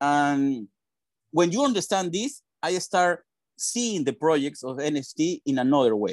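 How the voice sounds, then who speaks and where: Recorded very clean against a silent background, the voice has a Spanish accent and a dry, close sound with no echo. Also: man, fairly high pitch for a man. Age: 40s. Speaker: PR and communications professional. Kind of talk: interview.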